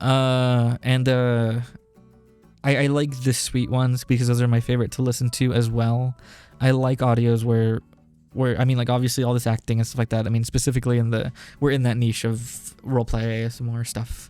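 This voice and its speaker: With music in the background, a man speaks at a fairly quick pace in monotone, flat intonation. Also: medium pitch for a man. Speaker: ASMR roleplay voice actor. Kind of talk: casual talk to listeners, Q&A. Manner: nervous, hesitant.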